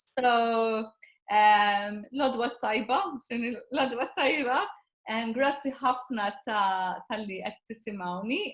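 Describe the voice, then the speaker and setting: Speaking at a very slow pace, a woman with a Maltese accent uses ordinary pitch variation. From Malta. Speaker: personal development coach. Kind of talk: interview. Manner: halting.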